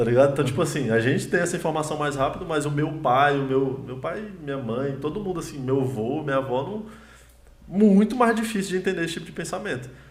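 A man talks very fast at a fairly high pitch, his intonation lively. Audible room echo and noticeable background noise surround him. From Brazil, Ceilândia (Federal District). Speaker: comedian. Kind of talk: casual chat. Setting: livestream.

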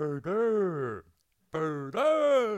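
In a put-on character voice, a man speaks at a high pitch that sounds robotic and swings very widely up and down. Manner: strained, choking.

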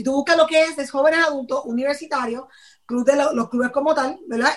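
A woman talking at a fairly quick pace with ordinary pitch variation. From Puerto Rico (Patillas). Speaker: church youth leader. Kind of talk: casual interview.

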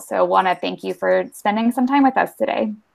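Speaking at a fairly quick pace, a woman has an unremarkable speaking voice at a medium pitch. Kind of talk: webinar hosting. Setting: video call.

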